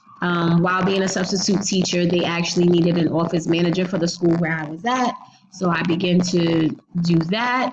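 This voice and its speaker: Through noticeable background noise, a woman with a fairly low pitch talks at a fairly quick pace with fairly even intonation. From New Jersey, Jersey City. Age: 30s. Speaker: teacher. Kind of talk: self-introduction presentation for a class.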